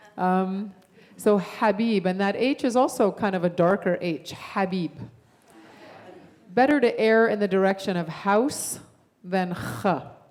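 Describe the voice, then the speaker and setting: With an Arabic accent, a woman speaks at a medium pitch and leaves long, frequent pauses. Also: ordinary pitch variation, fairly slow pace. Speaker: guest musician. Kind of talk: teaching a song to a congregation. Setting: church service.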